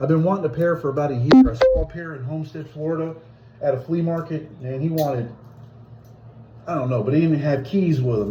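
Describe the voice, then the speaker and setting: Audible room echo follows a man who talks very fast in a dark, mellow tone with ordinary pitch variation. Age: 60s. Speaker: hobbyist video blogger. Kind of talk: casual unboxing video. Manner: casual, halting.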